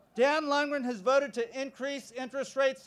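With an American accent, a man talks at a fairly quick pace in an extremely high pitch. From California. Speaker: congressional candidate and physician; candidate. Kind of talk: rally speech. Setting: outdoor campus quad with a large crowd. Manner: earnest, emphatic, campaign-style delivery with repeated parallel phrases. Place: open country. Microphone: podium.

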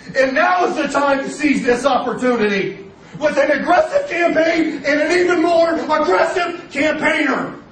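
Music-free but with noticeable background noise, a man speaks in an extremely high pitch at a fairly slow pace. His tone is enthusiastic and intense. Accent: American. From Ohio, USA. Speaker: local politician. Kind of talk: campaign speech. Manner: over-enthusiastic, intense.

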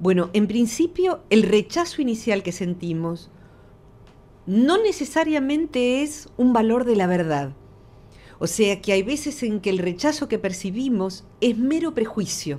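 Somewhat breathy and dark, mellow in tone, a woman speaks at a fairly slow pace with a fairly high pitch. Her pitch swings very widely. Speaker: psychologist; radio guest. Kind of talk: radio interview. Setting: studio.

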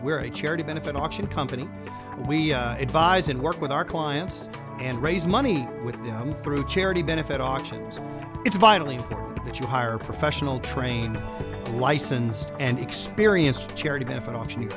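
Lively intonation in an American accent, a fairly quick pace, and clear music in the background. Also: man. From United States (Texas). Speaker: charity benefit auctioneer. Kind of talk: promotional interview talk to camera. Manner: friendly, light, conversational. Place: studio.

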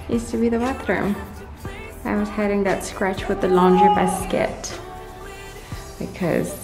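Clear music in the background beneath a woman's voice, moderate in pace. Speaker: mom vlogger. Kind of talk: casual vlog chat. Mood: nostalgic, upbeat. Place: empty room. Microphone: phone near.

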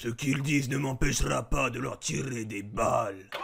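A man does a put-on character voice with a raspy edge. He keeps a medium pitch and a moderate pace. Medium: dub.

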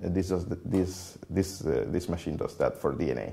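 With a Spanish accent, a man talks at a moderate pace in a very deep, low pitch, his dark, mellow tone somewhat breathy. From Venezuela, Merida (Andes); Venezuela. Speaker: computational biologist; interviewee. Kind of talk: interview. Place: office. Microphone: lapel.

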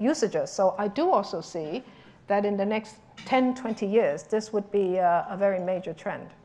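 A woman speaks at a fairly slow pace with a dark, mellow tone, a medium pitch and ordinary pitch variation.

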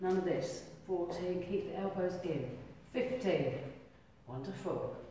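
A woman is speaking. The room echo is strong, and there is light background noise. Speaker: fitness instructor. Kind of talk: exercise class instruction. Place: hall. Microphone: camera far.

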